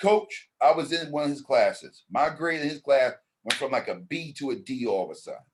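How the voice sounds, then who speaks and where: With an American accent, a man talks at a fairly quick pace while his loudness swings widely. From New York, the Bronx. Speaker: basketball league founder. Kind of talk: interview. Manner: animated.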